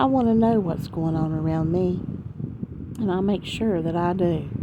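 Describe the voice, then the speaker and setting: Soft-spoken, a woman talks with lively intonation over noticeable background noise. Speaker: ASMR storyteller. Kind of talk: improvised story narration.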